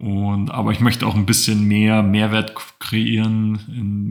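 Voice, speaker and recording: Very slowly and in a monotone, flat intonation, a man speaks at a fairly low pitch. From Bavaria, Allgäu (Kaufbeuren). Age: 20s. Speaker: finance podcast co-host. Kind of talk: casual chat.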